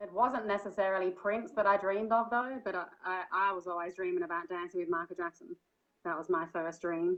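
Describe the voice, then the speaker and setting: A woman talks at a fairly quick pace in an Australian accent. Her pitch is medium. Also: ordinary pitch variation. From Australia, Byron Bay area (New South Wales). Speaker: singer and dancer. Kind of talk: interview conversation. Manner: hesitant, many fillers.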